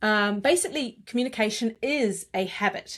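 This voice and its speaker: On a very clean recording with a silent background, a woman with a New Zealand accent talks at a moderate pace in a fairly high pitch with ordinary pitch variation. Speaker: communications coach. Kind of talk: interview conversation.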